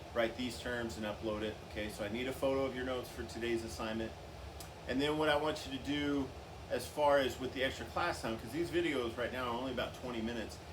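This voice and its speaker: Talking very fast at a medium pitch, a man shows ordinary pitch variation. The recording has audible room echo and noticeable background noise. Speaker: music teacher. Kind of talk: lecture. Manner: casual, hesitant with fillers.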